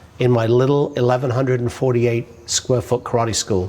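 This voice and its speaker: A man speaks with an English accent. His pitch sits in the middle range. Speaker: business author and marketing speaker. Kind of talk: personal story monologue. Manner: casual.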